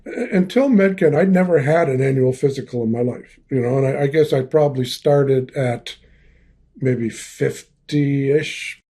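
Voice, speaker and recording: At a moderate pace, a man speaks in a somewhat breathy voice with a dark, mellow tone and ordinary pitch variation. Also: fairly high pitch for a man. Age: 70s. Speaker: retired lawyer, patient guest. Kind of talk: interview testimony.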